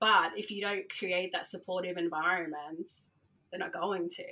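A woman with an Australian accent, medium in pitch, bright and sharp in tone, at a moderate pace. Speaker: DJ and radio founder. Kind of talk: casual interview.

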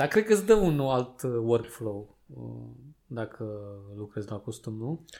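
A man with a medium pitch and a dark, mellow tone speaks at a fairly slow pace with long, frequent pauses, ordinary pitch variation and big swings in loudness. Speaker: podcast co-host. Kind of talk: casual chat.

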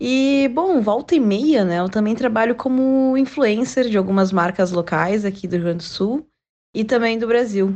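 A woman's fairly high, dark and mellow voice, lively in intonation, at a moderate pace over a quiet background. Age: 20s. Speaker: social media influencer. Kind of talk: interview answer.

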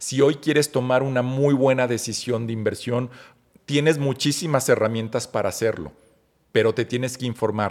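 This man has a Mexican accent and a medium pitch. His intonation remains fairly even. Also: moderate pace. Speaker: marketing expert. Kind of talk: interview.

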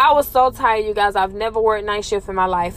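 An animated woman's voice at medium pitch amid noticeable background noise. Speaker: podcaster and former elderly caregiver. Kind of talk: casual chat, then ghost story telling with hushed, suspenseful tension. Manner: animated, conversational, direct appeal to listeners.

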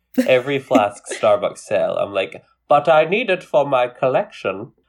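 A man with a Scottish accent speaks at a fairly slow pace. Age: young adult, millennial. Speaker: podcast co-host. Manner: animated, self-deprecating, jokey.

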